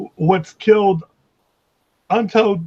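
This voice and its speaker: The voice comes across dry and close with no echo, moving at a fairly slow pace with fairly even intonation. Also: man. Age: 60s. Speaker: climate activist. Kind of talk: casual chat.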